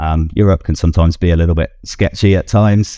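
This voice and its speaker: Very deep, low-pitched male voice with a British accent, a dark, mellow tone, fairly even intonation and a moderate pace, on a very clean recording against a silent background. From UK. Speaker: app founder. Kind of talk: casual interview.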